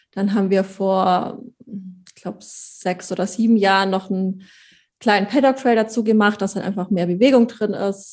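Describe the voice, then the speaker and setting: In a normal speaking voice, a woman speaks at a medium pitch and moderate pace with fairly even intonation on a very clean recording with a silent background. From Allgäu, Bavaria/Swabia, southern Germany. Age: 20s. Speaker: pony owner and breeder. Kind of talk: casual interview chat.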